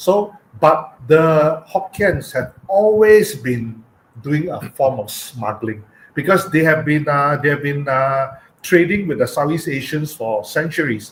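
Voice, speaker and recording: This man speaks with a Penang accent and a somewhat breathy, fairly high voice. His intonation is lively, and his pace is fairly slow. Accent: Malaysian English, Penang. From Penang, Malaysia. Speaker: cultural heritage speaker. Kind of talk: online talk with slides. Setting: live online stream. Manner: halting, many fillers.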